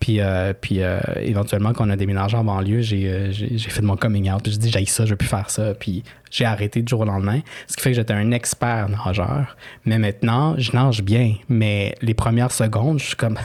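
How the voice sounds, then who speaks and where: A man with a Quebec accent speaks at a moderate pace in a fairly low voice. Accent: Québécois French. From Quebec, Chilean immigrant family. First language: Spanish (speaking French). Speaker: author. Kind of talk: interview. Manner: hesitant, many fillers.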